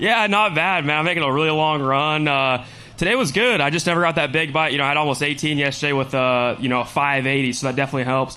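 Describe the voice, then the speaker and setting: Speaking very fast with hardly any pauses, a man with an American accent and a fairly high pitch keeps his loudness very even and his pitch variation ordinary, with audible room echo. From California. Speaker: professional angler. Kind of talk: stage interview. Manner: casual.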